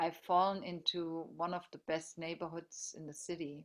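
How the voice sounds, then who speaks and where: A woman with a strong German accent, at a fairly slow pace. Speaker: teacher. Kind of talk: group video meeting discussion.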